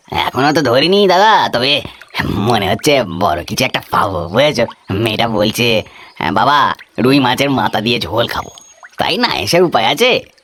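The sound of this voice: Using a cartoonish character voice, a man talks at a moderate pace and medium pitch.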